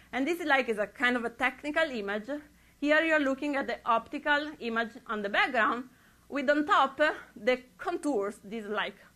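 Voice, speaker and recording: At a moderate pace, a woman uses a raised, projected voice with a high pitch and a bright, sharp tone. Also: lively intonation. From Europe. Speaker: astrophysicist. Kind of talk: public lecture. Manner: halting with frequent restarts.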